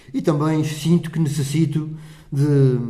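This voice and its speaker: A man with a fairly high pitch speaks in a space with audible room echo. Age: 70s. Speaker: parish council president. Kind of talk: interview.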